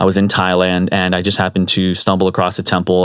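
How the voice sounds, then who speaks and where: Here a man talks very fast in a very deep, low pitch. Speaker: Buddhist teacher. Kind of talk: dharma talk. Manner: casual.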